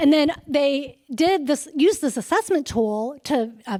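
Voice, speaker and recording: The recording is very clean, with a silent background. This woman talks fairly slowly, and her pitch varies in an ordinary way. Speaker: emergency physician presenting research. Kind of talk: conference presentation. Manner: casual, conversational.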